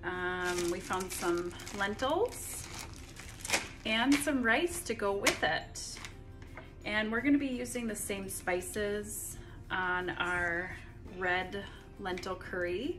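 A woman at a very slow pace with long, frequent pauses, clear music in the background. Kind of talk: casual cooking vlog chat. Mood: friendly, upbeat. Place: kitchen. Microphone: phone near.

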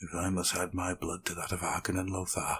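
A man puts on a character voice, growling and raspy with a very deep, low pitch. He talks at a fairly quick pace in a monotone, flat intonation. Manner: snarling.

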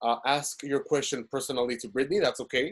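In a Spanish accent, a man speaks with fairly even intonation. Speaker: webinar host and business owner. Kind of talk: webinar interview. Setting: video call.

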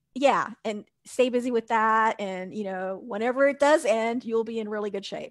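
A woman with an American accent and a plain, everyday voice talks at a moderate pace and fairly high pitch with ordinary variation, the sound dry with no echo and the background quiet. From US South. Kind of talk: casual chat. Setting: video call. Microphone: headset.

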